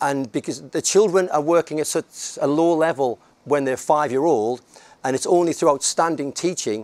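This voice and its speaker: Spoken in a northern English accent at a moderate pace, with ordinary pitch variation. The sound is dry and close, with no echo. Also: man. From northern England, near Scotland. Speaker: head teacher. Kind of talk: conference talk. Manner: halting.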